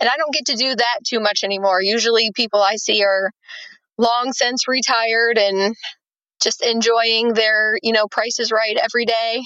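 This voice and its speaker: A woman's plain, everyday voice, fairly high in pitch, at a moderate pace with fairly even intonation and very even loudness. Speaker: vision rehabilitation specialist for veterans. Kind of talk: casual interview.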